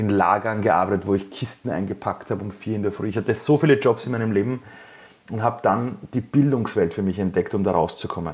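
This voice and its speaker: A man talks very fast in a fairly low pitch, his pitch varying in an ordinary way. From Iran, raised in Austria (Vienna). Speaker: entrepreneur. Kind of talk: interview testimony.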